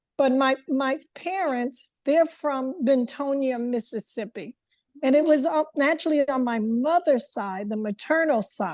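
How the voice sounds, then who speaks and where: A high-pitched woman at a fairly slow pace, ordinary pitch variation, quiet background. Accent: American. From New York. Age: 70s. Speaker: lecture attendee. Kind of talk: casual chat. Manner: halting.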